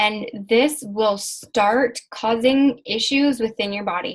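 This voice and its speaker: A woman speaks with a fairly high pitch and lively intonation. Her voice is somewhat breathy. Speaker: emotion and mindset coach. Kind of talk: online class lesson.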